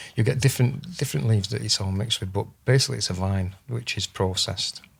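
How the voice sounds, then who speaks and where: A man speaks at a very fast pace in a fairly low, somewhat breathy voice with ordinary pitch variation. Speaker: plant medicine practitioner. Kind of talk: podcast interview. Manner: halting.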